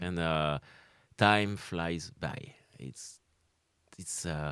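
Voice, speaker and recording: On a very clean recording with a silent background, a man speaks in a French accent with ordinary pitch variation. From France, Caen. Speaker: comedian, former undertaker. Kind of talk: interview answer.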